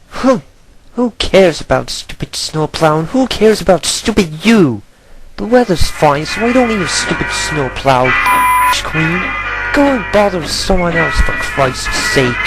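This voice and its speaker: Faint music plays in the background as a man puts on a high-pitched character voice at a moderate pace. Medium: dub. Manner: irritated, sarcastic.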